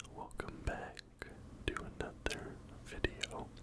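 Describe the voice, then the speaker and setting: A man whispers at a very slow pace. Noticeable background noise runs behind him. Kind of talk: ASMR whispering video. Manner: whispered, soft-spoken.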